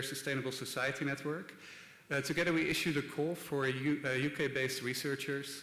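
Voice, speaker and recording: A man with a Dutch accent speaks at a fairly quick pace in a fairly high pitch, with audible room echo. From Netherlands (Rotterdam). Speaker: design institute director. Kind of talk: conference talk. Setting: stage with audience. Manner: hesitant, many filler words.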